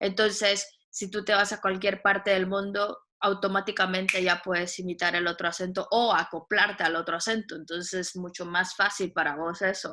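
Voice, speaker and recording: With a bright, sharp tone, a woman speaks at a moderate pace and medium pitch in a monotone, flat intonation. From Guatemala. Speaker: radio voice talent and volunteer. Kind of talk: casual interview chat. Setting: video call.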